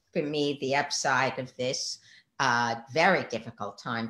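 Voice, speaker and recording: A woman talks at a fairly slow pace. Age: 70s. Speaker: psychotherapist and tarot teacher. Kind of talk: interview. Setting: live online stream.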